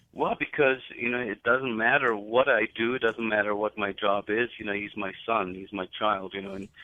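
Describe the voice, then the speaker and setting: The speaker has a German accent and keeps a moderate pace. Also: man. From Germany. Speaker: metal singer. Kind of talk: radio interview.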